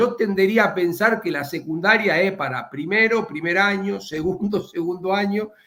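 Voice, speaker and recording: A man with a high pitch uses a raised, projected voice at a moderate pace with hardly any pauses. His pitch variation is ordinary, with noticeable background noise. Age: 60s. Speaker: economist, former central bank manager. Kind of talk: interview on streaming news show. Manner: halting, many repetitions and fillers.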